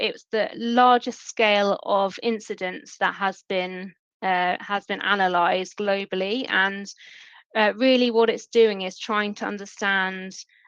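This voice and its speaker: In a British accent, someone talks at a fairly slow pace with ordinary pitch variation against a quiet background. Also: woman. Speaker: email security sales lead. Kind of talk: webinar presentation.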